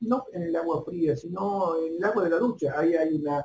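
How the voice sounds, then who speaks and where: This man's voice sits high in pitch. His pitch variation is ordinary. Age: 50s. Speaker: university lecturer. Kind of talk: lecture. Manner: halting.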